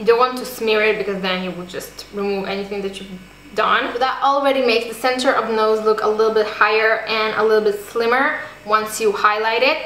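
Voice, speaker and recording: Over noticeable background noise and audible room echo, a woman speaks at a fairly high pitch with fairly even intonation. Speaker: beauty vlogger. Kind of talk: tutorial.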